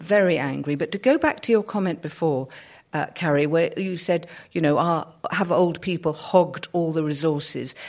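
This woman has a British accent and a fairly low pitch. She talks at a moderate pace on a very clean recording with a silent background. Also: ordinary pitch variation. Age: 60s. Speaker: sociologist. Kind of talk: panel discussion. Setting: stage with audience.

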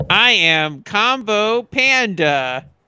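A man puts on a high-pitched character voice in a very clean recording with a silent background. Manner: cartoonish, audition performance.

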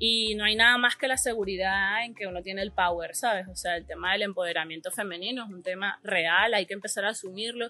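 A woman with a plain, everyday voice at a medium pitch speaks at a fairly quick pace with fairly even intonation and hardly any pauses, over a quiet background. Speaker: artist. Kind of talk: casual interview. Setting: café.

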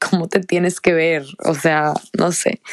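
In a dry, close recording with no echo, a woman speaks very slowly at a fairly low pitch with monotone, flat intonation. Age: 20s. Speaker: podcast host. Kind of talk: solo monologue. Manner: halting.

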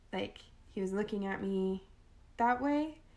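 Amid noticeable background noise, a woman talks at a moderate pace with lively intonation. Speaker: podcast co-host. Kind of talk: casual chat.

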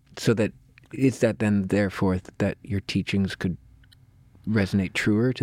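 The recording is dry and close, with no echo. It carries a plain, everyday voice at a moderate pace. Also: man. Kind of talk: casual chat. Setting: restaurant.

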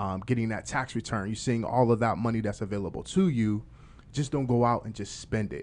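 A man with an American accent talks at a fairly quick pace in an unremarkable speaking voice, his pitch medium and its variation ordinary. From Farrell, Pennsylvania. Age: 40s. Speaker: podcast co-host and DJ. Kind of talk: casual interview. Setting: studio.

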